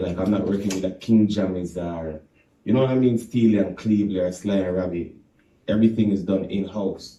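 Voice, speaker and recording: A man's fairly low, dark, mellow voice with a Jamaican accent. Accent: Jamaican, deep. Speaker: reggae artist. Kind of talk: radio interview. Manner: casual, animated.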